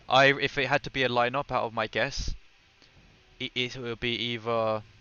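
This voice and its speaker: A man with a British accent talks at a medium pitch in a flat, monotone delivery. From Britain. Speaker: gaming streamer. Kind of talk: live stream gameplay commentary with chat. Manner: fast; casual.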